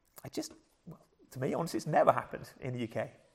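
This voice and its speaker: The speaker has a southern English accent and lively intonation. The recording is very clean, with a silent background. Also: man. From southern England. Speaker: preacher. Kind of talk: sermon. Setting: church.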